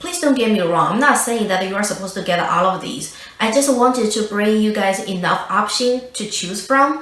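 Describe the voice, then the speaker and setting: A woman with a non-native accent and a fairly high pitch talks at a moderate pace with hardly any pauses and ordinary pitch variation, amid audible room echo and noticeable background noise. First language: not English. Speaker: beauty youtuber. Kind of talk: product review. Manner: hesitant with fillers.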